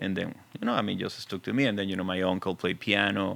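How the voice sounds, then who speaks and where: The speech comes at a very fast pace in a strong Venezuelan accent, with fairly even intonation. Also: man. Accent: thick Venezuelan Spanish. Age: 40s. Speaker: film and TV composer. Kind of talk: casual interview. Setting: studio.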